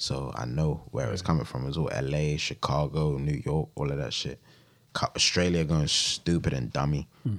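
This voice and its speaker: With a London accent, a man talks in a very deep, low voice that has ordinary pitch variation. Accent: London, Multicultural London English. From West London, England. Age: 20s. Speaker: rapper. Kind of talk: casual chat.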